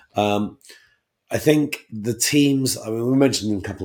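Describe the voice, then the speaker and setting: A man's pitch varies in an ordinary way in this very clean recording with a silent background. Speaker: podcast host. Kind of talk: casual chat about game strategy.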